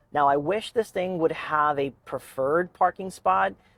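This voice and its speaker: The sound is dry and close with no echo. A man with a fairly high pitch talks at a moderate pace with ordinary pitch variation. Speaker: EV car reviewer. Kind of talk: live driving commentary. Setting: in a car. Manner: casual, unscripted with stumbles.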